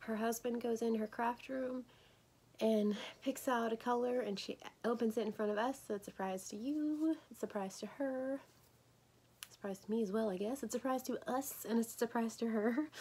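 A woman speaks quietly at a moderate pace, with a fairly high pitch, fairly even intonation and a dark, mellow tone. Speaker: crochet vlogger. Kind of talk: casual tutorial vlog. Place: home room. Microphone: phone near.

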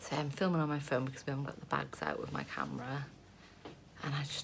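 A woman's voice comes with light background noise. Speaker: expectant mother vlogger. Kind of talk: casual vlog chat. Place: home room. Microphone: phone near.

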